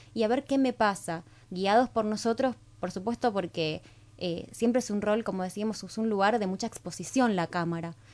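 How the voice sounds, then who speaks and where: A woman with a normal speaking voice talks at a moderate pace, fairly high in pitch and lively in intonation. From Argentina, Rosario. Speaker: TV hosting teacher. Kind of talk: radio interview.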